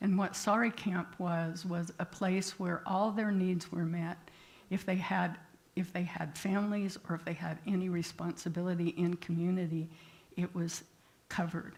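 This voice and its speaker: A woman's somewhat breathy, fairly low voice at a moderate pace, with monotone, flat intonation. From rural area. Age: 80s+. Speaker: therapist and guest speaker. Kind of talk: sermon.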